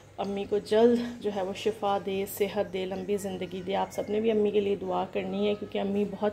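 A woman talks at a moderate pace. Light background noise sits behind her. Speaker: home vlogger. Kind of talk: casual vlog chat. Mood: worried, somber. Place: home room.

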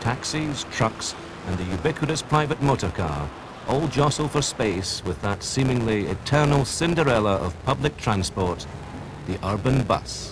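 Noticeable background noise sits behind a man speaking at a moderate pace. His medium pitch moves in very wide swings. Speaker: documentary narrator. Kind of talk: scripted vintage-style documentary narration. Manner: formal, measured, authoritative, polished.

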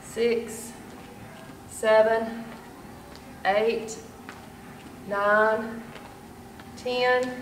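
Against light background noise and audible room echo, a woman speaks in a monotone, flat intonation. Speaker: fitness instructor. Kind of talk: workout instruction. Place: gym. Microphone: camera far.

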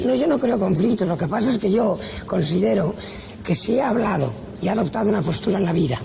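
Over light background noise, a woman talks at a very fast pace with lively intonation. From Valencia, Spain. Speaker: actress. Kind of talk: TV interview answer. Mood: firm, frank, slightly bitter. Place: studio.

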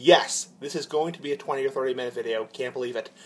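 A man's speech moves at a moderate pace. The variation in his pitch is ordinary. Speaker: vlogger. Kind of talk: casual vlog chat. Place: garage. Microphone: phone near.

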